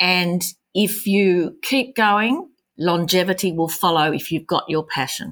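In an Australian accent, a woman speaks at a medium pitch and a fairly slow pace. The recording is very clean, with a silent background. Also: ordinary pitch variation. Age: 60s. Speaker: artist and small business owner. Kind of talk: interview.

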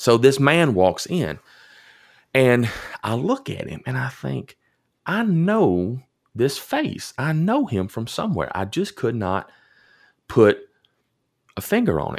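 Very slow speech in a Tennessee accent, with very wide pitch swings, long and frequent pauses, and a very clean recording with a silent background. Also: man, medium pitch for a man. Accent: Southern US (Tennessee). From US South, rural southern Middle Tennessee. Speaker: pastor. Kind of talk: storytelling in casual interview. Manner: hesitant, many fillers and repeats.

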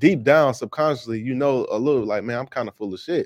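In a dry, close recording with no echo and a quiet background, a man talks very fast at a medium pitch. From Chicago, Illinois (West Side). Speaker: podcast host, Air Force veteran, real estate investor. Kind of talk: casual interview chat.

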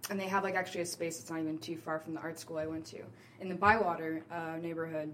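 Very fast speech in an American accent, with noticeable background noise. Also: woman, fairly low pitch for a woman, fairly even intonation. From New Orleans, US. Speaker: actor and theater artist. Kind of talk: casual interview.

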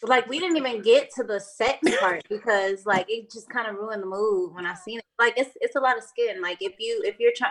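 A woman speaks with an American accent and ordinary pitch variation. She has an ordinary speaking voice. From Battle Creek, Michigan. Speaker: lash business owner. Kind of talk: casual chat.

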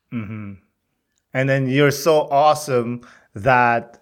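A man speaks at a fairly slow pace with a Filipino accent and lively intonation. The recording is very clean, with a silent background. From Philippines. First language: Tagalog. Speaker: podcast host. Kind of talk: interview, casual chat. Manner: animated, upbeat.

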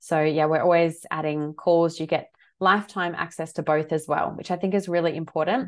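Over a quiet background, a woman with an Australian accent talks at a fairly quick pace with fairly low pitch and fairly even intonation. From Australia, Adelaide. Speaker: holistic health coach and teacher. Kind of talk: interview.

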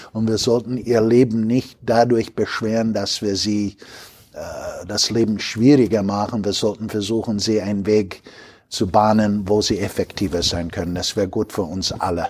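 A man with an American accent speaks at a moderate pace. His pitch is fairly low and his intonation fairly even. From US Midwest, Chicago. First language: English (speaking German). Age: 60s. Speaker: logistics company executive. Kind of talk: interview. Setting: company headquarters near Düsseldorf.

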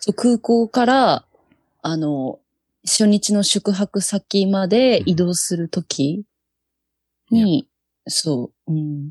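Against a quiet background with a dry, close sound and no echo, a woman speaks at a very slow pace and medium pitch, somewhat breathy, with lively intonation and long, frequent pauses. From Japan, Yokohama (Kanagawa). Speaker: touch rugby national team captain. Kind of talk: casual chat.

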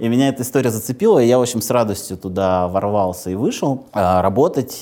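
A man with a fairly low voice speaks at a fairly quick pace with ordinary pitch variation, against noticeable background noise. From Moscow region, Russia. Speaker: bank product executive. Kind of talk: interview. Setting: studio.

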